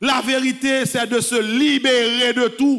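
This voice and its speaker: Over a quiet background, a man with a Haitian accent speaks at a very slow pace. His pitch is extremely high and his intonation fairly even. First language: Haitian Creole (speaking French). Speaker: priest. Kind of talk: sermon. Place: church. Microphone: podium.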